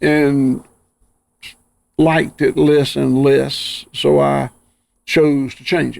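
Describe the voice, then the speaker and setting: This man has a Southern US accent and a medium pitch. His pitch swings very widely. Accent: Southern US (Georgia). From US South, Georgia. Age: 60s. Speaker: rancher. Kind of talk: interview conversation. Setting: outdoors on farm.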